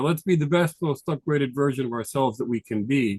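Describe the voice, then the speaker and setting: Speaking at a fairly quick pace, a man has a fairly high pitch. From New York. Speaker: tax advisor. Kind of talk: presentation. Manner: fast.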